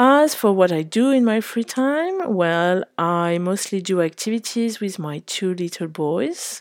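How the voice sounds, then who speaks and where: On a very clean recording with a silent background, a woman with a French accent speaks at medium pitch and a fairly slow pace, her intonation lively and hardly any pauses between words. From Paris, France. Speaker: English teacher and head of pedagogy at a language school. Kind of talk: self-introduction.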